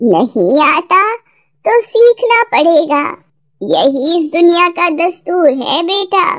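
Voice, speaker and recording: A cartoonish character voice, female-sounding, squeaky and extremely high, at a very slow pace. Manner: warm, motherly.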